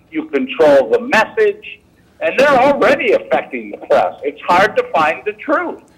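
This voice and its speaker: A man talking at a fairly slow pace over noticeable background noise. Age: 70s. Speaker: intelligence agency whistleblower. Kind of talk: political discussion interview.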